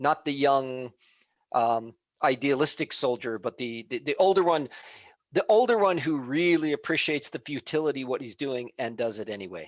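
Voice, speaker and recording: A man talks in an ordinary speaking voice, at a moderate pace with lively intonation. The recording is very clean, with a silent background. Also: dry, close sound with no echo. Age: 60s. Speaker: former comics editor and author. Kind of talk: interview.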